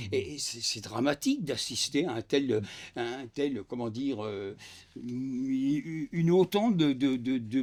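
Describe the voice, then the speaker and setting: With lively intonation, a man speaks very slowly at a fairly high pitch. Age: 70s. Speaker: retired factory worker and union activist. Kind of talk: panel discussion. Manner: halting, many repetitions and hesitations.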